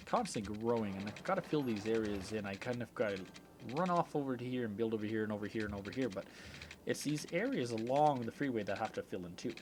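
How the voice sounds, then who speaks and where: With an Albertan accent, a man speaks at a medium pitch and a fairly quick pace. His pitch varies in an ordinary way. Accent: Canadian (Alberta). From Canada. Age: 30s. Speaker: video game streamer. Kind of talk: casual live-stream chat.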